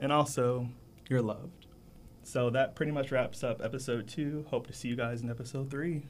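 The man talks at a moderate speed, his medium-pitched voice holding fairly level intonation. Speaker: student podcast host. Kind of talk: casual chat. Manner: proper-sounding speech.

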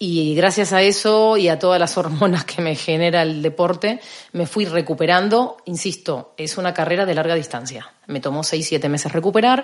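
This woman speaks at a moderate pace with ordinary pitch variation. She hardly pauses at all. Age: 40s. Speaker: personal trainer. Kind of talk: casual chat.

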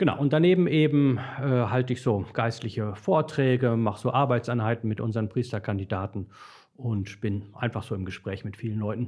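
At a fairly quick pace, a man uses an ordinary speaking voice with a medium pitch and ordinary pitch variation. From Dortmund, Ruhr area, Germany. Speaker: priest trainer and author. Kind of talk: casual chat.

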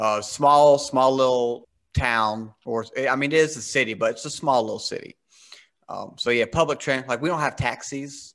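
With an American accent and a plain, everyday voice, a man speaks at a moderate pace and medium pitch, his intonation fairly even. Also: quiet background. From US South. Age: 30s. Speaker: podcast host. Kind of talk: casual interview chat.

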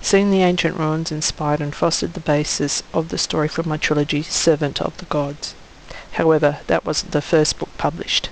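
Over noticeable background noise, a woman with an Australian accent talks at a fairly quick pace in a very deep, low pitch with monotone, flat intonation. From Western Australia (country town south of Perth). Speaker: author and teacher. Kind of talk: scripted welcome message.

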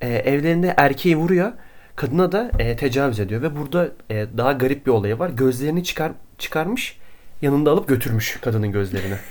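A man's fairly high voice moves fairly quickly with lively intonation. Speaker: podcast co-host, intern. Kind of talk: casual chat about true crime.

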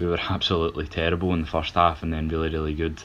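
Very fast speech in a Scottish accent. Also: man. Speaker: football panelist. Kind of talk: casual chat.

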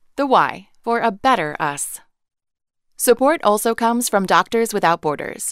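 An unremarkable speaking voice, a woman's at a fairly high pitch, lively in intonation and moderate in pace, with a dry, close sound free of echo on a very clean recording with a silent background. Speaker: sponsor message announcer. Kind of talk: scripted sponsor announcement read.

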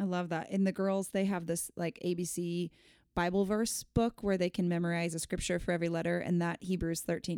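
Over a silent background in a very clean recording, a woman with an American accent speaks at a fairly quick pace, her tone dark and mellow, her pitch fairly low and her intonation monotone and flat. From US West Coast, San Diego. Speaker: podcast host. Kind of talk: casual chat.

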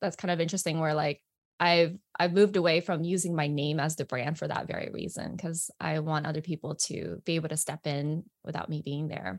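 A woman's very deep, low voice with fairly even intonation, dry and close with no echo, on a very clean recording with a silent background. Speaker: business guest. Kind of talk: casual interview chat. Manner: fast talker.

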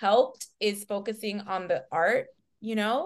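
Speaking very slowly with an American accent, a woman uses lively intonation. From New York City, Washington Heights, Dominican family. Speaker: talent manager. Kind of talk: casual interview chat. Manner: relaxed, upbeat.

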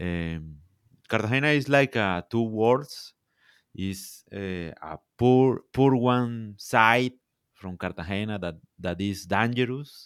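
With a Colombian coastal accent, a man speaks at a very slow pace. His voice is fairly low, with ordinary pitch variation. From Colombia, Caribbean coast. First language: Spanish. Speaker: social media content creator. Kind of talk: casual interview. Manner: halting.

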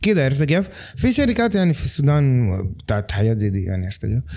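Dark, mellow tone in a male voice of medium pitch. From Sudanese, raised in Lebanon. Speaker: film director. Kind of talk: casual chat.

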